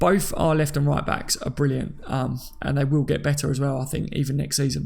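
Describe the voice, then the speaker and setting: Noticeable background noise sits behind the voice. A man talks at a fairly quick pace. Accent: Cockney. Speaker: livestreamer reading chat. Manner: casual, chatty, self-deprecating.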